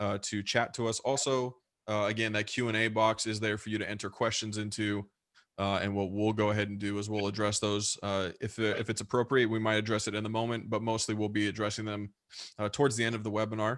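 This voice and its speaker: A man speaks at a very fast pace with an American accent and a fairly low pitch. His intonation is monotone and flat. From US West Coast. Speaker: webinar host, deathcare software consultant. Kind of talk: webinar presentation. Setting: live online webinar.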